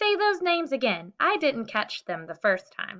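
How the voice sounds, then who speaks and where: Putting on a character voice, a woman speaks at a moderate pace and high pitch with very wide pitch swings. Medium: read story. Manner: eager, earnest.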